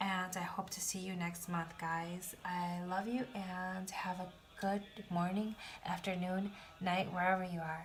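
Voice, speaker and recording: With audible room echo, a woman speaks at a medium pitch and a fairly slow pace in a monotone, flat intonation. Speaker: tarot reader. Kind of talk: tarot reading.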